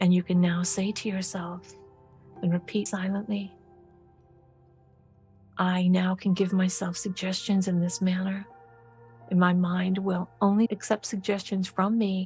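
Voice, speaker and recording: Music in the background behind a woman's calm, soothing tone, medium pitch, monotone, flat intonation, and fairly slow pace. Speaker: medical hypnotist and author. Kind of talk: guided hypnosis session. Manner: calm, soothing, slow.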